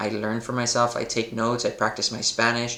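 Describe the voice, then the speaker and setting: A man talks with an American accent at a medium pitch. Background noise is noticeable. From Los Angeles, US. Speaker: football coach. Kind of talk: casual monologue. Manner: animated.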